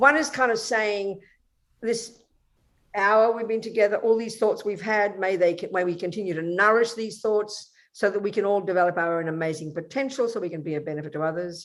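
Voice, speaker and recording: A woman with an Australian accent speaks at medium pitch with lively intonation. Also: very clean recording, silent background. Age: 70s. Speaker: Buddhist nun. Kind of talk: interview.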